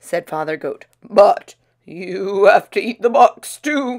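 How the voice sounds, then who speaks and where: A woman performs a put-on character voice at a fairly high pitch. Her pitch swings very widely. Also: fairly slow pace. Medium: read story.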